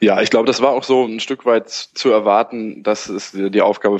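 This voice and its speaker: A man speaks at a moderate pace. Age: 20s. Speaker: football blogger. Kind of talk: casual chat. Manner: halting.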